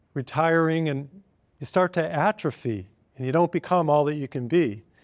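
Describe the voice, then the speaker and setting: A man with a plain, everyday voice speaks at a moderate pace, fairly high in pitch with ordinary pitch variation, in a dry, close sound with no echo on a very clean recording with a silent background. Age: 60s. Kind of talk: televised sermon-style talk. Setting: filmed program.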